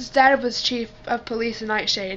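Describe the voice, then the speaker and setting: Very slow speech from a woman, noticeable background noise behind it. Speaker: amateur audiobook reader. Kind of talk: read-aloud novel chapter.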